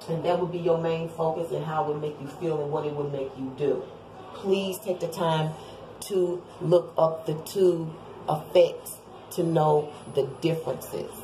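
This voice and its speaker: Monotone, flat intonation at a fairly slow pace, with audible room echo and noticeable background noise. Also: woman, fairly low pitch for a woman. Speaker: tarot reader. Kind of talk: tarot reading video.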